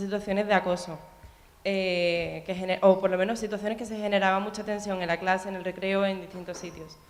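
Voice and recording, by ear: A woman's medium-pitched voice at a fairly quick pace, with little pitch movement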